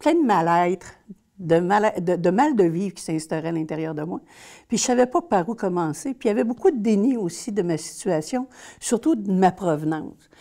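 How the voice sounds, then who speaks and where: Her tone is dark and mellow, and the woman speaks at a moderate pace. Her loudness swings widely on a very clean recording with a silent background. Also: medium pitch for a woman. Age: 60s. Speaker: social worker. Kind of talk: interview testimony. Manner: hesitant.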